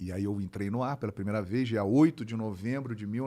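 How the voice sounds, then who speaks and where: Noticeable noise fills the background. Over it, a man talks fairly quickly. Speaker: sports broadcaster (football commentator). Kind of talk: casual podcast interview answer, storytelling.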